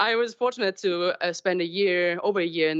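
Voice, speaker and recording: A woman's voice at a moderate pace, with ordinary pitch variation. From Germany. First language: German. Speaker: marine scientist. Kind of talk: public talk. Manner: halting.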